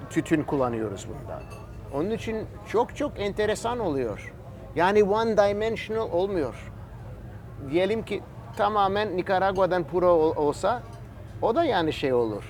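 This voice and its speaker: The speech moves at a fairly slow pace with long, frequent pauses. Its intonation is lively. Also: man. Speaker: cigar maker. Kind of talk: casual interview chat. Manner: halting, searching for words.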